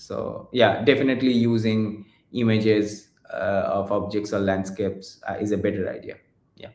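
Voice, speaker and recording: Fairly low-pitched man with a Bengali accent, monotone and flat in intonation, at a moderate pace, with big swings in loudness. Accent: Indian English (Bengali). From India. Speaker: research engineer presenting AI talk. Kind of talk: Q&A after a technical lecture. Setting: online seminar, remote video call. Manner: halting, many fillers.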